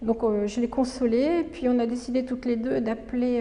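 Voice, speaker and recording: Fairly high in pitch, a woman talks at a fairly slow pace. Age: 60s. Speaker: retired doctor. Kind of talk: testimony. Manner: halting, frequent hesitations.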